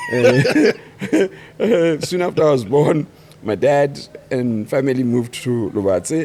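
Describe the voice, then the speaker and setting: Noticeable background noise sits behind a man whose fairly high pitch carries lively intonation at a very slow pace. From Botswana. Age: 60s. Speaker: architect. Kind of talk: podcast interview.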